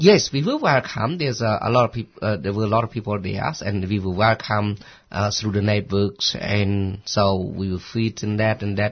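A somewhat breathy man with a Cambodian accent, fairly low pitch, ordinary pitch variation and a moderate pace. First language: Khmer. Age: 50s. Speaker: former refugee, community worker. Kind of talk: radio interview. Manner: halting.

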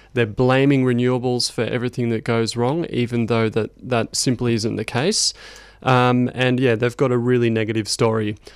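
This man has an Australian accent. He talks with monotone, flat intonation. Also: medium pitch for a man, moderate pace. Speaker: climate campaign coordinator. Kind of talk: radio interview. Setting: studio.

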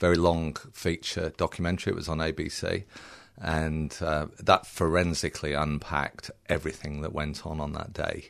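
A man speaks in a very deep, low voice with a slight British accent, at a moderate pace. His intonation is monotone and flat, and the background is quiet. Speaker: film director. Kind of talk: radio interview. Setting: studio.

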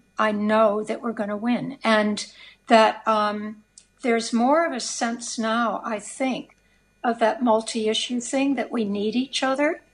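With an American accent, a woman speaks fairly slowly in a fairly high, somewhat breathy voice, her intonation fairly even. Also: quiet background. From United States. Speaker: socialist activist. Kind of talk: radio interview. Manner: halting, many fillers.

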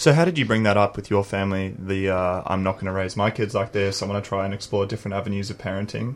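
With hardly any pauses, a man talks very fast at a fairly low pitch and fairly even intonation, noticeable background noise behind him. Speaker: radio co-host. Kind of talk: radio interview. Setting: radio studio.

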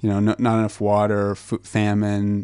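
Against a quiet background, a man with a Southwestern US accent speaks at a moderate pace in a fairly low pitch with a dark, mellow tone. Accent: American (Southwest). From New Mexico, US. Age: 20s. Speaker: foundation researcher. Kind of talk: radio interview.

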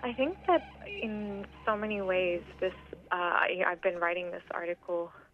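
A woman talks at a moderate pace and a medium pitch, with fairly even intonation. Background noise is noticeable throughout. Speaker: poet and human rights activist. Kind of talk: radio interview. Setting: phone line.

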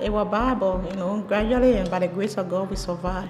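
Fairly quick speech with lively intonation in a Liberian accent, over noticeable background noise. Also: woman. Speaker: refugee, factory worker. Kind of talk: testimony.

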